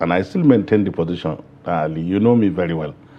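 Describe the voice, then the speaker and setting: A man speaks with a northern Nigerian accent. His intonation is lively. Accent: northern Nigerian (Hausa) English. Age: 60s. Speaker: politician. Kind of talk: interview.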